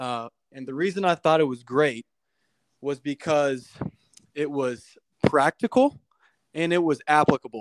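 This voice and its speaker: A man's fairly high voice at a fairly slow pace, with long, frequent pauses, ordinary pitch variation, and a dry, close sound with no echo. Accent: Midwestern US. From Kansas City, Missouri. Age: 20s. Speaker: insurance broker. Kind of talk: casual chat.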